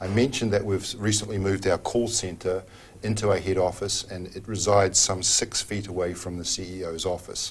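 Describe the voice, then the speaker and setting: Fairly quick and monotone, a man with a New Zealand accent speaks at a fairly low pitch in a somewhat breathy voice. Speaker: telecom executive. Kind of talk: TV interview.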